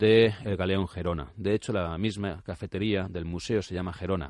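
The man's intonation is fairly even as he talks at a moderate pace over a quiet background. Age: 40s. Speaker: writer and motorcycle traveller. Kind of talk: radio interview. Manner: halting.

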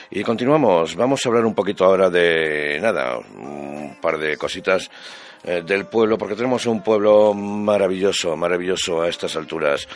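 A man speaks in a very deep, low voice with lively intonation. Noticeable background noise is present. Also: moderate pace. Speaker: radio host. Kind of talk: radio show presenting. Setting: radio studio. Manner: warm, chatty.

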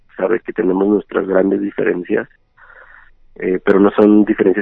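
A man at a moderate pace. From Ciudad Juárez, northern Mexico. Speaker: entrepreneur in digital marketing. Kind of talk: interview. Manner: halting, with frequent repetitions.

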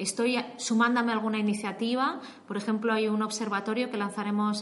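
Audible room echo and noticeable background noise accompany speech that moves at a moderate pace. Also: woman. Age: 30s. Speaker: investigative data journalist. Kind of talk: interview.

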